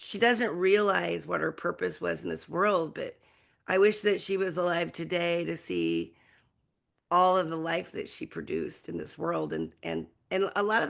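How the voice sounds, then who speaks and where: A woman talks at a moderate pace. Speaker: singer. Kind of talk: interview.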